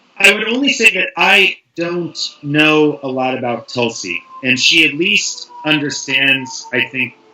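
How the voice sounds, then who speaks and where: A man with an American accent speaks at a fairly slow pace in a fairly high voice with lively intonation, over noticeable background noise. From US, San Francisco. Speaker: writer, panel guest. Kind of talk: casual panel discussion.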